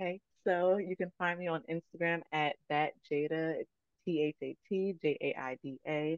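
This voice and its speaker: A woman with an American accent talks at a moderate pace in a normal speaking voice. Her pitch is fairly low and her intonation fairly even. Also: dry, close sound with no echo. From Virginia, Chesterfield. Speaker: virtual assistant and podcaster. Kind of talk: casual interview chat.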